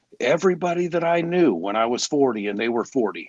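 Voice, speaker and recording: In a shaky put-on character voice, a man rattles along at a very fast pace with fairly high pitch. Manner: wistful.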